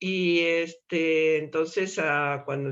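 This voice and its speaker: Someone with an Argentine accent talks against a quiet background. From Argentina, Buenos Aires. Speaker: activist speaker. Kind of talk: public talk. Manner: many filler words. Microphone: slight beeping noise on line.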